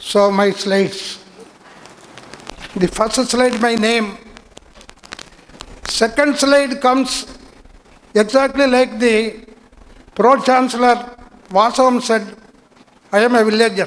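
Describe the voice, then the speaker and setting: Extremely high for a man, his voice keeps very even loudness and fairly even intonation. He talks very slowly with long, frequent pauses over noticeable background noise. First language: Tamil. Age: 80s+. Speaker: invited speaker at student induction. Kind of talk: speech to new students.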